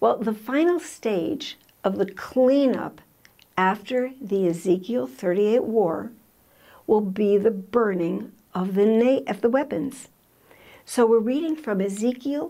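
Against a quiet background, a woman talks with a dark, mellow tone. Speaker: Bible teacher. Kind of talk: Bible teaching talk. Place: studio. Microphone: lapel.

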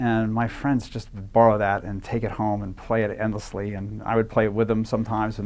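Here a man with an American accent speaks at a fairly quick pace. His fairly low voice stays monotone and flat. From New Hampshire, US. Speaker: game designer and screenwriter; guest. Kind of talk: lecture-style interview. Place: hall. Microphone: lapel.

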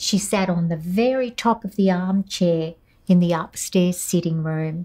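A woman speaks with an Australian accent at a fairly slow pace, fairly low in pitch with ordinary pitch variation. Her tone is dark and mellow yet warm and playful, against a quiet background. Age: old. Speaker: children's author and former teacher. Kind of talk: children's picture book read-aloud. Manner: warm, playful. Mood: warm, gentle, playful. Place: studio.

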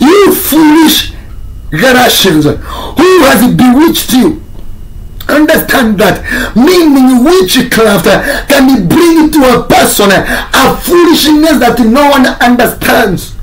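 A man's voice with very wide pitch swings over light background noise. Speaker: pastor. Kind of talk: sermon. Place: home room. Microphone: phone near.

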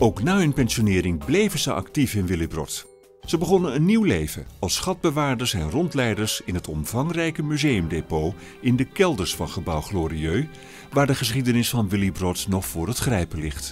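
Fairly low male voice with very wide pitch swings at a moderate pace, music in the background. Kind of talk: documentary trailer narration.

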